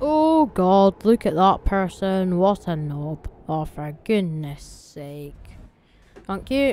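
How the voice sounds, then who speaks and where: Speaking very slowly with a Scottish accent, the voice swings widely in pitch and shifts a lot in loudness. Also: woman, medium pitch for a woman. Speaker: gaming YouTuber. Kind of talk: casual gameplay commentary.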